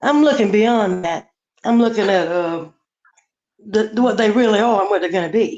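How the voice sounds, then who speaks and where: A woman's fairly high voice in a Southern US accent, at a moderate pace with ordinary pitch variation and long, frequent pauses. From US South, Charleston, South Carolina. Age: 60s. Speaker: caller on a live stream. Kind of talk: casual chat.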